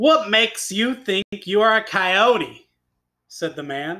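Very slow, raised, projected speech from a man, bright, sharp tone and lively intonation, on a very clean recording with a silent background. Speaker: teacher. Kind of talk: classroom read-aloud lesson.

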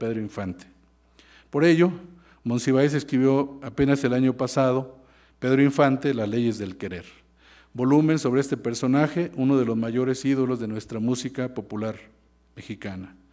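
The tone is dark and mellow, with ordinary pitch variation. Delivery is at a moderate pace against a quiet background. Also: man. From Mexico. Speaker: university professor giving a laudatory speech. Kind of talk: formal ceremonial speech. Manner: formal. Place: hall. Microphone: podium.

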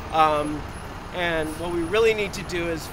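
A man talks in a high voice with fairly even intonation. The sound is dry with no echo, though noticeable background noise is present. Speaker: prison abolition activist. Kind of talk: protest speech. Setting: outdoors, solidarity protest. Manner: earnest, campaigning; hesitant, repeating words. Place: street. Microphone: phone near.

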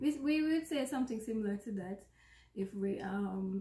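A woman talks in a Jamaican accent. The room echo is audible. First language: Jamaican Patois. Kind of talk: casual conversation to camera. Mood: playful, relaxed. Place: home room. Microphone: phone near.

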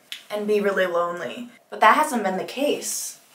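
A woman speaks at a fairly slow pace, with audible room echo around her. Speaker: music student vlogger. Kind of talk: casual vlog chat. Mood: relaxed, confiding, a bit sleepy. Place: bathroom. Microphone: camera far.

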